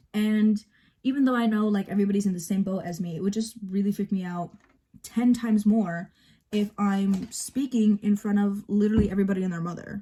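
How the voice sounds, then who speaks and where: Somewhat breathy, with a dark, mellow tone, a woman talks at a fairly quick pace. Her intonation is fairly even. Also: medium pitch for a woman. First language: bilingual, Spanish spoken at home. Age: 18. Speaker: vlogger. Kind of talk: casual get-ready-with-me vlog. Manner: hesitant with fillers.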